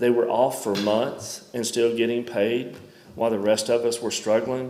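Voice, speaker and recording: A man speaks in a Mississippi accent at a moderate pace, his pitch medium. His intonation is monotone and flat, with audible room echo. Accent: US Southern (Mississippi). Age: 50s. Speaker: member of the public speaking at a county meeting. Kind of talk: public comment at a government meeting.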